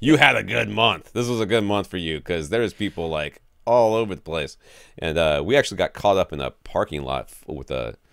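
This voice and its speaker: A man's very deep, low voice with vocal fry and very wide pitch swings, at a fairly quick pace, dry with no echo over a quiet background. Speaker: podcast host. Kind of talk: casual podcast chat. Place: home room.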